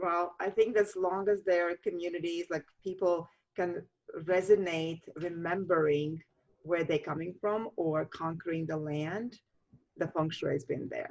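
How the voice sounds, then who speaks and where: A woman speaks fairly slowly with a Latvian accent. Her pitch is fairly low and her intonation fairly even. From Latvia, Riga. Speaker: feng shui master. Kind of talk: interview. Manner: halting.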